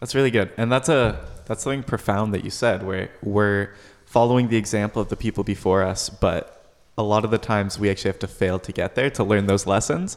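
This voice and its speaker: A man with an ordinary speaking voice, fairly low-pitched, at a fairly quick pace with fairly even intonation. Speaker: podcast co-host. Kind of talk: casual interview chat.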